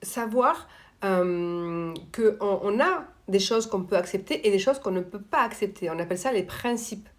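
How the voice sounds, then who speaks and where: On a very clean recording with a silent background, a woman at medium pitch speaks fairly slowly with ordinary pitch variation. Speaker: coach on emotional dependence. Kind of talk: live stream talk answering viewers. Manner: loud.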